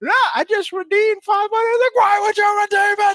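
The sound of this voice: A put-on character voice at an extremely high pitch proceeds at a fairly slow pace.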